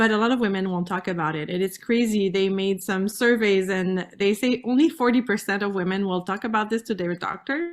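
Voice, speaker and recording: At a moderate pace, a woman with a French-Canadian accent speaks at a medium pitch with ordinary pitch variation. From Canada, French-speaking. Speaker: pelvic floor specialist. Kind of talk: interview. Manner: halting.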